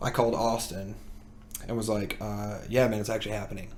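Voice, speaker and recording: With a slight Southern US accent, a man of fairly low pitch speaks at a fairly quick pace amid audible room echo. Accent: slight Southern twang. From US South. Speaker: musician. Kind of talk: casual chat.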